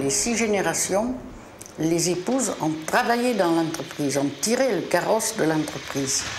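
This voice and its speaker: Her fairly low voice swinging very widely in pitch, a woman speaks with music in the background and audible room echo. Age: 70s. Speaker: family business founder. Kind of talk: documentary interview.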